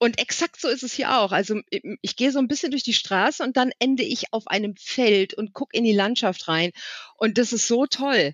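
Lively intonation from a woman with a high voice, moving at a moderate pace. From western Germany, Wipperfürth (Bergisches Land). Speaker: games journalist and editor. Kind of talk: casual chat. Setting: walking outdoors while talking. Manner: halting.

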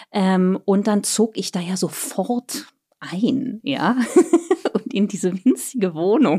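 Somewhat breathy, with a dark, mellow tone, a woman of medium pitch speaks at a very slow pace with ordinary pitch variation. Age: 40s. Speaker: author and traveller. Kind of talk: casual chat.

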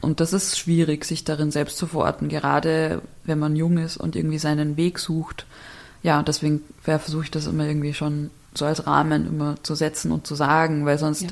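Her pitch very deep and low, a woman speaks in a monotone, flat intonation. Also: moderate pace. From Bavaria, small village. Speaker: architect and writer. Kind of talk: casual interview.

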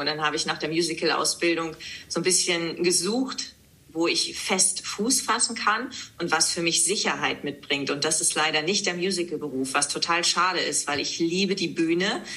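A woman at a moderate pace, ordinary pitch variation, with noticeable background noise. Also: fairly low pitch for a woman. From East Frisia, northern Germany. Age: 30s. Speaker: news presenter and author. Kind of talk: podcast interview.

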